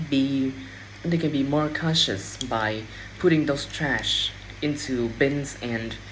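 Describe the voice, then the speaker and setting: The speech comes at a very slow pace in a Vietnamese accent. Noticeable background noise runs underneath. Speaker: English learner practicing speaking. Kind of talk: speaking test practice. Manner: halting, with self-corrections.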